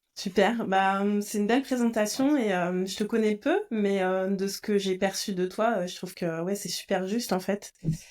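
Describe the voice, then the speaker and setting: A normal speaking voice from a woman at medium pitch, moderate pace, fairly even intonation and hardly any pauses. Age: 40s. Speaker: podcast host and coach. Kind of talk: podcast interview.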